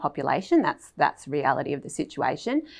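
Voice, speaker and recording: A woman with an Australian accent at a fairly quick pace, in a very clean recording with a silent background. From Australia, Melbourne. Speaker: veterinarian. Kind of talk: casual chat.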